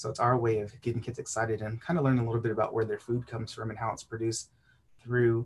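With an American accent, a man talks at a very fast pace and medium pitch. His voice is somewhat breathy and his intonation monotone and flat. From South Texas. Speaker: youth development agent. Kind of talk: casual interview.

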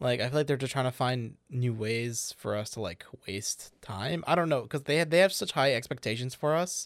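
A man talks at a moderate pace in a normal speaking voice, medium in pitch with ordinary pitch variation and hardly any pauses. The recording is very clean, with a silent background. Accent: American. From Chicago. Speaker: podcast co-host. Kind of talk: casual chat. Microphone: new microphone.

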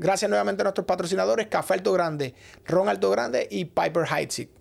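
The man's voice sits high in pitch. He talks at a very fast pace. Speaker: podcast host and producer. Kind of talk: casual interview chat; sponsor announcements. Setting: studio.

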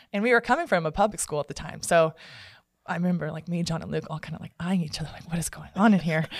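An animated woman with an American accent talks at a very fast pace and a fairly low pitch. Her somewhat breathy voice has ordinary pitch variation and big swings in loudness. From Texas (Dallas-Fort Worth area), earlier Phoenix. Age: 20s. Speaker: stunt performer and athlete. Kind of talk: interview. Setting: studio.

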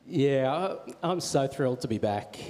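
At a very slow pace, a man with an Australian accent speaks at a medium pitch with ordinary pitch variation, with noticeable background noise behind him. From Australia, Wollongong. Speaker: church minister. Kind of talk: on-stage interview. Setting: church.

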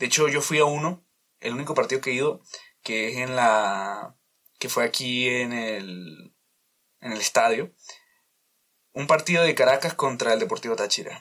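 The intonation is lively and the pace moderate. Long pauses come often. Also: man, medium pitch for a man. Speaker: podcast host. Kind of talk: casual monologue. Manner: loud; halting.

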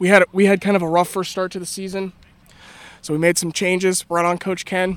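Dry and close with no echo, a man's high-pitched voice rattles along at a very fast pace in a monotone, flat intonation. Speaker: softball team captain or coach, interviewed. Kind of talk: post-game interview. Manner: relaxed, matter-of-fact, casual.

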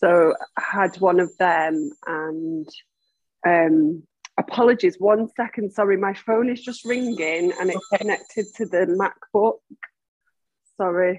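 In a Mancunian accent, a woman speaks at a fairly slow pace and a medium pitch, with long, frequent pauses. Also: ordinary pitch variation. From Manchester, England. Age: 40s. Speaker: massage therapist and facilitator, blind. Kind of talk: interview, personal story. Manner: halting, many fillers.

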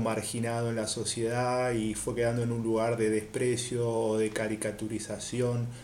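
The speech moves at a fairly slow pace. Room echo is audible, and background noise is noticeable. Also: man. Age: 30s. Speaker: podcast panelist. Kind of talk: casual discussion.

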